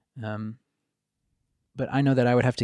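A man's voice with ordinary pitch variation, dry and close with no echo, on a very clean recording with a silent background. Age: 30s. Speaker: podcast host and tattoo artist. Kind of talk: casual conversation.

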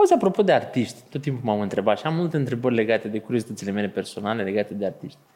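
A man's medium-pitched voice at a very fast pace, with lively intonation and hardly any pauses. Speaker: podcast host. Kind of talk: live interview on stage. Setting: stage with audience.

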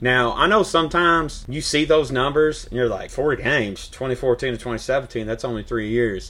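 A man with a medium pitch speaks at a fairly slow pace with ordinary pitch variation, amid noticeable background noise. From Louisville, Kentucky (South End). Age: 30s. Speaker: sports podcast host. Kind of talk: casual sports talk.

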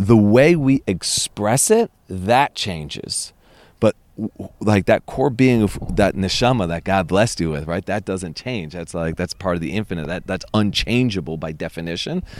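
A man's fairly low-pitched voice with lively intonation, at a moderate pace. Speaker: tour guide. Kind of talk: casual chat. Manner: animated.

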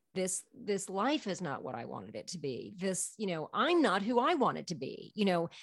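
A woman talks at a moderate pace with lively intonation and vocal fry. Her pitch is medium, and the background is quiet. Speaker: storyteller and artist. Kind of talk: casual interview chat, storytelling.

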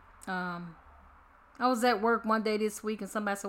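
A woman speaks in a bright, sharp tone at a fairly high pitch, with ordinary pitch variation, on a very clean recording with a silent background. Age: 50s. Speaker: mother of the host, pharmacy worker. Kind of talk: casual chat.

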